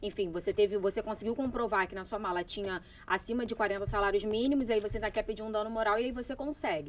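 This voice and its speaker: A woman's very fast delivery with hardly any pauses and ordinary pitch variation. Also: fairly high pitch for a woman. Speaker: lawyer. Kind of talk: interview.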